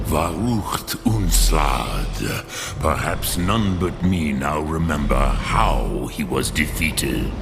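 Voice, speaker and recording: A man speaks very slowly in a put-on character voice. Loud background noise runs underneath. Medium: machinima. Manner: slow, grave, sprinkled with dragon-tongue words.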